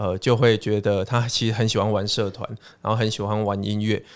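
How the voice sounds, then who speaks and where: The recording is very clean, with a silent background. A man with a plain, everyday voice speaks at a moderate pace in a fairly low pitch. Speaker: education professor and author. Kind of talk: casual interview chat.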